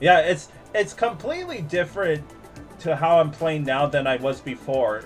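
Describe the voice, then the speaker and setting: Music plays in the background as the voice moves along at a moderate pace. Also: man, fairly high pitch for a man, ordinary pitch variation. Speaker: streamer. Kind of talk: gaming commentary. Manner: casual, reacting.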